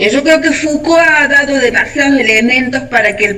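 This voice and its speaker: At a moderate pace, a woman speaks over noticeable background noise. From Argentina. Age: 60s. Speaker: discussion participant. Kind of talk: group discussion.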